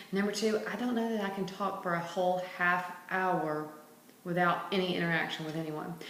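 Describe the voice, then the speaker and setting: With a Southern US accent and fairly even intonation, a woman is heard amid audible room echo and noticeable background noise. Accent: southern twang. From Mississippi, US South. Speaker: health vlogger. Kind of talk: casual vlog monologue. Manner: unscripted, some hesitations.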